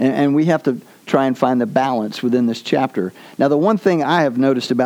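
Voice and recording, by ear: A passage is read aloud with a natural voice. Ordinary rises and falls mark the pitch.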